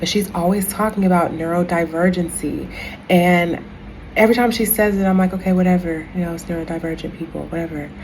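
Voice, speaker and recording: A woman's fairly low voice at a very fast pace with fairly even intonation, set against noticeable background noise and audible room echo. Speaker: spiritual content creator. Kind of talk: casual vlog monologue.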